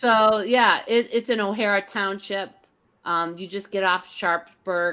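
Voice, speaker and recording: A bright, sharp tone with a Pittsburgh accent and fairly even intonation on a very clean recording with a silent background. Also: woman, medium pitch for a woman, fairly slow pace. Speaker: retired teacher. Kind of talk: interview answer. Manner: casual, chatty.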